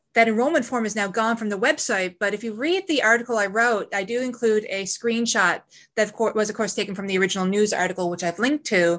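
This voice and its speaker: A woman with an ordinary speaking voice talks at a fairly quick pace, fairly high in pitch with ordinary pitch variation, against a quiet background. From Newfoundland, Canada. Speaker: podcast co-host. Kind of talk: casual chat.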